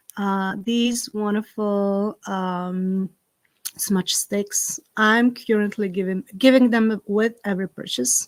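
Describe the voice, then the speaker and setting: On a very clean recording with a silent background and a dry, close sound with no echo, a woman with a Slovak accent speaks very slowly at a medium pitch with fairly even intonation. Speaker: herb farmer and spiritual content creator. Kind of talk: live stream ritual and casual chat. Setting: outdoors; live stream.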